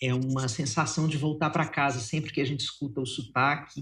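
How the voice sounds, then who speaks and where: An unremarkable speaking voice from a man, with fairly even intonation. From Minas Gerais, Brazil. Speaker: psychologist and writer. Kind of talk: interview conversation.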